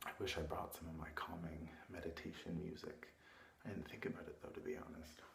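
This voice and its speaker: The speaker is whispering at a fairly quick pace. There is noticeable background noise. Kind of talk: ASMR roleplay. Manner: soft-spoken, caring.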